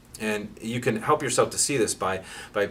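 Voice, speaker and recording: Clear background noise can be heard. The talking goes at a fairly fast clip. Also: man. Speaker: pain therapist. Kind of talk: educational talk. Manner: halting with many repeated words.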